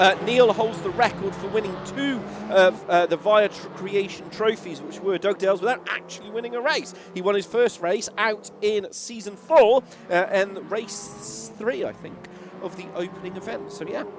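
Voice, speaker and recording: Backed by music, a man speaks at a moderate pace in a high pitch, with ordinary pitch variation and big swings in loudness. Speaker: sim racing commentator. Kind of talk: live commentary.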